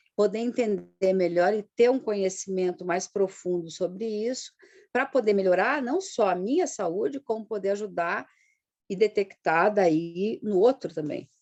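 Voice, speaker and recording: With a plain, everyday voice, a woman talks at medium pitch and ordinary pitch variation. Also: fairly slow pace. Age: 60s. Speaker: integrative therapist, client giving testimony. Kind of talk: testimony interview.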